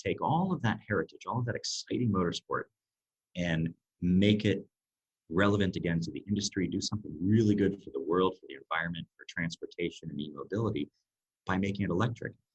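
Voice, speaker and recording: A man with an American accent talks very fast in a fairly low, somewhat breathy voice. His pitch varies in an ordinary way, and the sound is dry and close with no echo. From United States. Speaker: air race organizer. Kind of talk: interview.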